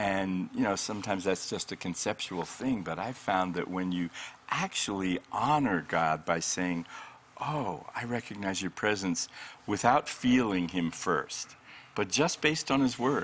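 With an American accent, a man speaks in an ordinary speaking voice at a fairly low pitch. His pace is fairly slow and his intonation lively. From Colorado, US. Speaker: pastor and author. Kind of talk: faith-based interview.

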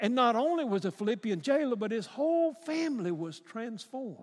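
A man with an Alabama accent, high-pitched, with very wide pitch swings. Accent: Southern US (Alabama). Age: 80s+. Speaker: retired pastor. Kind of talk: sermon. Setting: church.

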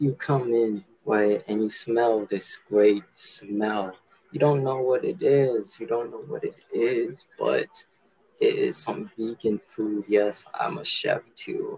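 With music in the background, a man in an American accent speaks at a very slow pace, the sound dry and close with no echo. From Massachusetts. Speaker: dating show contestant, musician. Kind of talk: casual chat.

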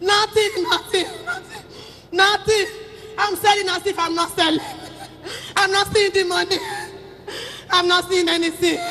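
A woman's extremely high, raised, projected voice, monotone and flat, with long, frequent pauses over noticeable background noise. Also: moderate pace. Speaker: woman in debt seeking help. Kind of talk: counselling exchange with preacher. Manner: halting.

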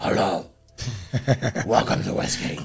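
A man puts on a raspy, husky character voice.

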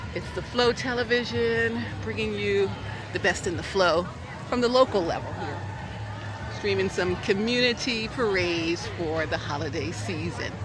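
Amid crowd noise, a woman with an American accent speaks at a moderate pace with long, frequent pauses. Her fairly low voice swings very widely in pitch. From US South, Georgia. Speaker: parade announcer. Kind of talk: live parade commentary, cheerful, ad-libbed. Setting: outdoors at a parade. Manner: animated; jokey, laughing.

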